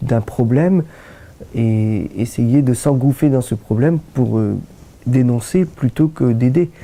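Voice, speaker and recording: At a fairly slow pace, a man talks at medium pitch with ordinary pitch variation and a dark, mellow tone. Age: 60s. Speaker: doctor, rheumatologist. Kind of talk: interview. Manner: hesitant, many fillers.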